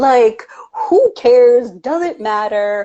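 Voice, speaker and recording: A woman speaks in a New York accent with a high pitch. Her tone is animated. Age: 40s. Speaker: women empowerment coach. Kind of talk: casual chat. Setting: Instagram live video.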